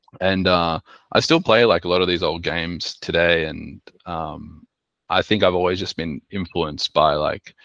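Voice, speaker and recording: Fairly even intonation with an Australian accent, a dry, close sound with no echo and a quiet background. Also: man, very deep, low pitch for a man, fairly slow pace. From Sydney, Australia. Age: 30s. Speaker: artist and designer. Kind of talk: presentation talk with slides. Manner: hesitant, many filler words.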